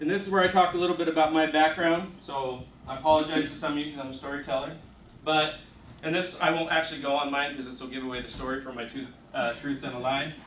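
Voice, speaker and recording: With noticeable background noise and audible room echo, a man talks at a very fast pace in a fairly high pitch, his intonation fairly even and his loudness swinging widely. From Mexico. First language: Spanish. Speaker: teacher trainer. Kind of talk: workshop presentation.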